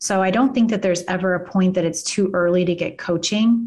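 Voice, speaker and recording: This woman has a medium-pitched voice with a slight Kansas accent. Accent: slight Kansas drawl. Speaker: immigration lawyer and law firm owner. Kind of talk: casual interview chat. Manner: animated.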